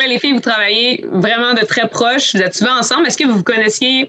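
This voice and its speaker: This woman talks at a fairly quick pace in a high pitch, with ordinary pitch variation. There is noticeable background noise. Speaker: podcast host, ski coordinator. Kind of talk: casual chat.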